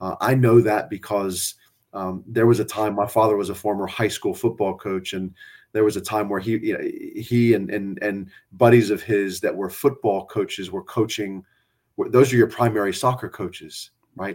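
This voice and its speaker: Fairly low male voice, an unremarkable speaking voice, with fairly even intonation at a moderate pace. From South Texas, San Antonio area. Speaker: college soccer coach. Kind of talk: casual interview. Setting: video call.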